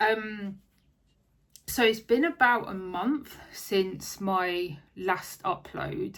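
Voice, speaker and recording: A woman with an Essex accent speaks at a very slow pace. Her intonation is lively and her pitch is medium. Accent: southern English (Essex). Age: 30s. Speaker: craft vlogger. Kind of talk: casual chat. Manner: rambling, hesitant with fillers.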